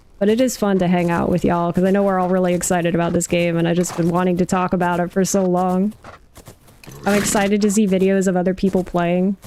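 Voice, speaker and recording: Fairly quick speech from a woman with a fairly low pitch and monotone, flat intonation, over noticeable background noise. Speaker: gaming streamer. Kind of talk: live gameplay stream chat.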